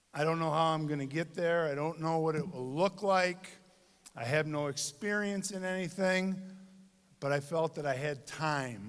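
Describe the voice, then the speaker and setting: A man with a Michigan accent, fairly high in pitch, at a moderate pace. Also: ordinary pitch variation. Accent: US Midwest (Michigan). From Michigan, Dearborn. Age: 60s. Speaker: commencement speaker. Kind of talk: commencement speech. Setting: stage with audience.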